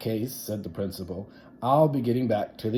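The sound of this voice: This is an unforced reading voice. Its pitch shows ordinary variation.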